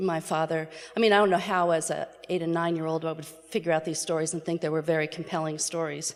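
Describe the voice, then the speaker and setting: Against noticeable background noise, a woman with an American accent speaks at a very fast pace. Her fairly low voice stays monotone and flat. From New York City area. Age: 60s. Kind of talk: personal testimony talk.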